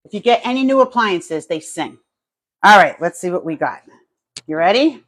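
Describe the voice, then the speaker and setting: A woman with a New Jersey accent, medium pitch, very wide pitch swings, big shifts in loudness, and a moderate pace. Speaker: home cooking YouTuber. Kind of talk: live cooking stream chat. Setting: home kitchen, live stream. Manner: casual, chatty.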